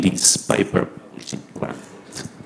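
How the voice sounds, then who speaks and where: A man with a Portuguese accent. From Portugal. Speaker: medical doctor and public health lecturer. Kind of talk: lecture.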